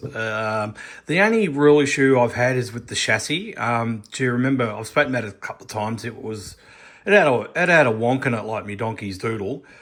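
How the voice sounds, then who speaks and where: This man speaks with an Australian accent. His pace is fairly quick. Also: medium pitch for a man, ordinary pitch variation. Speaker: scale model builder. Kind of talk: tutorial. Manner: casual, rambling with fillers.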